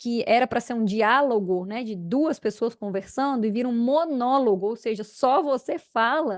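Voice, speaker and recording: A woman's high-pitched, animated voice at a moderate pace with ordinary pitch variation, dry and close with no echo, over a quiet background. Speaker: podcast host, agribusiness sales mentor. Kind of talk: solo podcast talk. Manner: animated, smiling.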